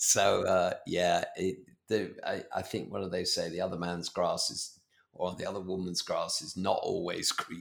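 Speaking with a British accent, a man keeps to a moderate pace. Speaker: podcast host. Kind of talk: interview. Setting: video call.

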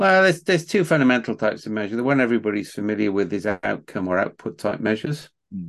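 This man speaks at a very fast pace with lively intonation. His voice sits fairly low in pitch. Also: quiet background. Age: 60s. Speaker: management scientist and author. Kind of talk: interview.

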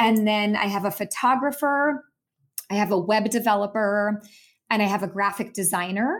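A normal speaking voice from a woman, medium in pitch, with ordinary pitch variation, very even loudness, and a moderate pace, on a very clean recording with a silent background. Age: 40s. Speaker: author and business coach. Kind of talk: interview.

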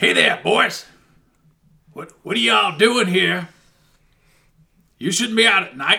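In a put-on character voice, a man shouts in a gruff, high pitch at a fairly slow pace, with long, frequent pauses. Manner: shouting, challenging.

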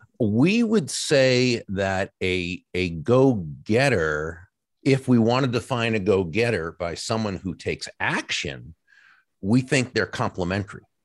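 Against a quiet background, a man with an American accent speaks fairly slowly at a medium pitch, his intonation lively. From Boston area, US. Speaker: author and professional speaker.

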